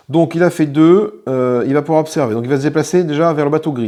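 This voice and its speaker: This man's voice is fairly high in pitch, with a dark, mellow tone. He talks at a fairly quick pace with ordinary pitch variation. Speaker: board game youtuber. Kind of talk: solo board game playthrough commentary. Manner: fast; casual, thinking aloud.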